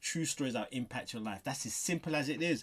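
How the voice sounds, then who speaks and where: This man has a London accent and ordinary pitch variation. The recording is very clean, with a silent background. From southeast London. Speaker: interviewer. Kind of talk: interview.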